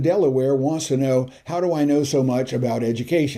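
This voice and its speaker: A man speaks in a medium pitch with a dark, mellow tone. The recording is very clean, with a silent background. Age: 70s. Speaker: YouTube tutorial vlogger. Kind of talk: casual vlog address to viewers. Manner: conversational, with filler hesitations.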